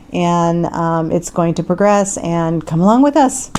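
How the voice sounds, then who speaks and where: With an American accent, a woman speaks at a moderate pace in a fairly low pitch with ordinary pitch variation, over noticeable background noise. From US Pacific Northwest (Tacoma, Washington), partly Philippines. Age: 60s. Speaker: hairdresser and vlogger. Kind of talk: casual chat. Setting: home condo by the beach, on video.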